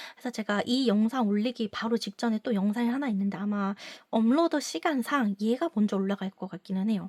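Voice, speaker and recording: A somewhat breathy woman with a fairly high pitch speaks at a fairly quick pace with ordinary pitch variation, the sound dry and close with no echo on a very clean recording with a silent background. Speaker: sex educator and counselor. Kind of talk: casual advice monologue.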